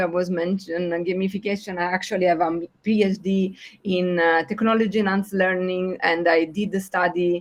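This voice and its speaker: This woman has an Italian accent and a medium pitch. Her intonation is monotone and flat. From southern Italy, Puglia (Otranto). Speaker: education researcher, pedagogist. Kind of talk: online project meeting presentation. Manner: hesitant, many fillers.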